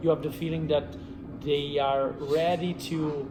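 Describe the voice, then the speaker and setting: Spoken in an Italian accent with ordinary pitch variation, the clip carries noticeable background noise and audible room echo. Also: man. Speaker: film director. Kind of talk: interview. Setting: film festival. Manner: halting.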